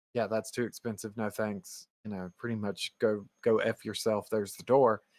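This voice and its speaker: A man speaks at a moderate pace with big swings in loudness. The sound is dry and close with no echo, on a very clean recording with a silent background. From US Southeast. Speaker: podcast co-host. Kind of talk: casual chat. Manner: animated.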